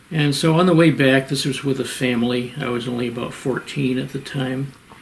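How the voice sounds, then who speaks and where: There is noticeable background noise as a man with an American accent talks. He speaks at medium pitch with fairly even intonation and a moderate pace. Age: 80s+. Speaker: retired professor and cave geologist. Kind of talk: interview. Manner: halting.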